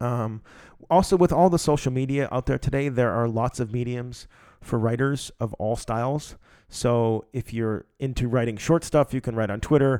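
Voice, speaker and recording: Recorded dry and close with no echo on a very clean, silent background, a man speaks in a dark, mellow tone at a medium pitch, with ordinary pitch variation and a moderate pace. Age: 30s. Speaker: podcast host, writer. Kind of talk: solo monologue podcast. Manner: casual, many fillers.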